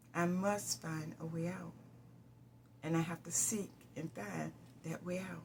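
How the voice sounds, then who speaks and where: A woman speaks at a fairly slow pace with long, frequent pauses. Background noise is noticeable. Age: 70s. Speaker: pastor. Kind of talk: personal testimony.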